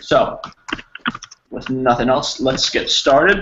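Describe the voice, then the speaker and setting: This man talks fairly slowly at a medium pitch. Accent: New Jersey. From New Jersey, US. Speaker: English teacher. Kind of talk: online language lesson.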